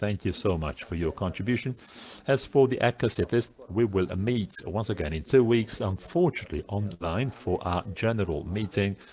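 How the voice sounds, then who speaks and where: Speaking with an Italian accent, a man talks at a moderate pace with fairly low pitch and ordinary pitch variation. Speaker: conference organizer. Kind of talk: closing remarks. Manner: halting.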